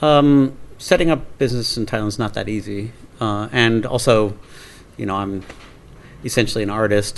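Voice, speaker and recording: A man with a Pacific Northwest accent, a fairly low pitch, ordinary pitch variation and a moderate pace. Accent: American English (Pacific Northwest). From Portland, Oregon. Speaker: film producer. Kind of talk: interview answer.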